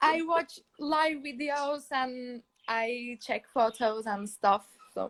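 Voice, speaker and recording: At a very slow pace, a woman with a Turkish accent speaks high in pitch with ordinary pitch variation. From Turkey. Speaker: fan caller. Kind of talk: casual chat. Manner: halting.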